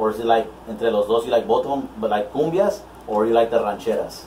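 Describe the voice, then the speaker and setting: Noticeable background noise accompanies a man talking at a fairly quick pace in an American accent. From Houston, Texas. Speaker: DJ and interviewer. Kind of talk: casual interview chat. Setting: live video stream. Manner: halting, many fillers.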